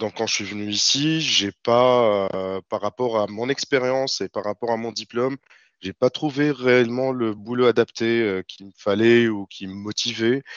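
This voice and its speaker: At a fairly slow pace, a man talks with a medium pitch and fairly even intonation. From Tunisia, Tunis. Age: 30s. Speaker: freelance software developer. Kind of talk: interview. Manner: hesitant, many fillers.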